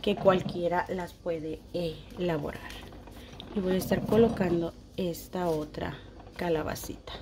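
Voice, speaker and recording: Someone speaks at a very slow pace in a warm tone over noticeable background noise. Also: woman. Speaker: home decor YouTuber. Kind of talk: tutorial. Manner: warm and affectionate.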